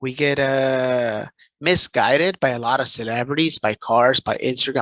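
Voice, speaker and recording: A man talks at a medium pitch with a bright, sharp tone and ordinary pitch variation. The sound is dry and close, with no echo. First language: Spanish. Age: 30s. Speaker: entrepreneur and life coach. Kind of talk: interview. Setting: video call. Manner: halting.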